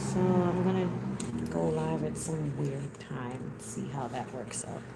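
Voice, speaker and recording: Mumbling at a fairly slow pace, a woman's very deep, low voice makes very wide pitch swings amid noticeable background noise and audible room echo. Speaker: wig maker streaming live. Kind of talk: casual live-stream chat while sewing. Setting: live stream. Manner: mumbles.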